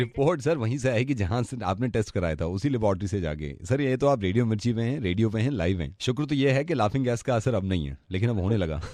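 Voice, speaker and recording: A warm, playful tone, dark and mellow, with lively intonation. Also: man, medium pitch for a man. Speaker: radio jockey doing prank calls. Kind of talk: radio host revealing a prank to the caller. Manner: warm, reassuring, playful.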